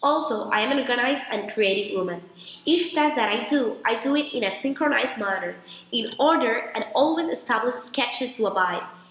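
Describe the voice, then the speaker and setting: Audible room echo and noticeable background noise surround a woman speaking at a fairly quick pace, high-pitched, with lively intonation. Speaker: applicant in a practice interview. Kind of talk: mock interview, rehearsed answers. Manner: formal.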